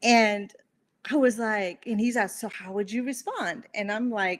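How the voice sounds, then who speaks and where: At a moderate pace, a woman with an American accent speaks at a medium pitch with ordinary pitch variation. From Bolivia, raised in Montana (US). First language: Spanish. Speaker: interview guest. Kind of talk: interview, personal story.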